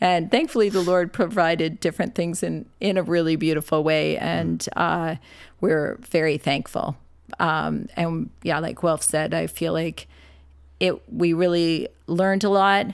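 A woman with a Canadian accent and a plain, everyday voice speaks at a fairly slow pace and fairly low pitch with ordinary pitch variation, on a very clean recording with a silent background. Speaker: nurse and ministry worker. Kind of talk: casual interview.

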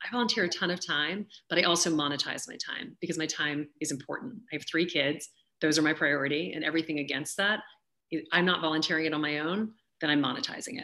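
Speaking at a very fast pace with an American accent, a woman has a very deep, low pitch, a bright, sharp tone and ordinary pitch variation. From US South, Louisiana. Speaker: auctioneer and author. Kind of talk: interview conversation.

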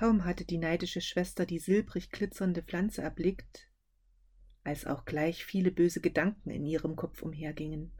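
This woman's fairly low voice has a dark, mellow tone and some vocal fry. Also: moderate pace. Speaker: podcast host and fairy-tale reader. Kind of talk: dramatic fairy-tale narration, read aloud. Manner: vivid, theatrical storytelling with character voices.

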